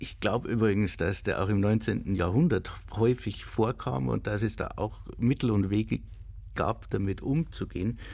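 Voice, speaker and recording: Speaking fairly slowly with vocal fry, a man uses a fairly low pitch and lively intonation on a very clean recording with a silent background. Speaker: literary institution co-host. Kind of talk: literary discussion. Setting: radio studio.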